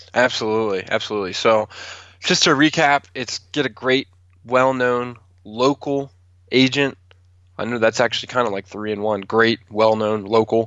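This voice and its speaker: In an ordinary speaking voice, a man with an American accent talks at a moderate pace, his medium pitch and fairly even intonation. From Maryland, Calvert County. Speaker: realtor. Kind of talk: casual interview.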